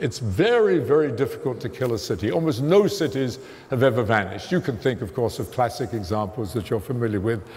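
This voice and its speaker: A man speaks at a moderate pace with lively intonation and a medium pitch, and the room echo is audible. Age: 70s. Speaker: theoretical physicist lecturer. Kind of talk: lecture. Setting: stage with audience.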